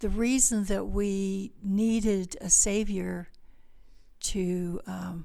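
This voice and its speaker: A woman speaks with a dark, mellow tone. Her pitch sits in the middle of the female range. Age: 70s. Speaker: behavioral health clinic owner. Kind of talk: interview conversation.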